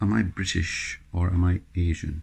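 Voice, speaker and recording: This man has a very deep, low voice that is somewhat breathy, with a dark, mellow tone. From Bolton, northern England. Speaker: interviewee. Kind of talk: personal reflection interview. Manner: halting.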